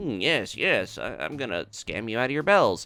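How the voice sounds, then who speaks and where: Using a put-on character voice, a man talks at a moderate pace in a medium pitch with very wide pitch swings. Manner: scheming, smug.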